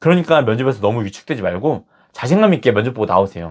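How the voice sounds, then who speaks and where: A man with vocal fry speaks at a very fast pace with very wide pitch swings. The background is quiet. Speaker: career coach youtuber. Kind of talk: advice talk to camera.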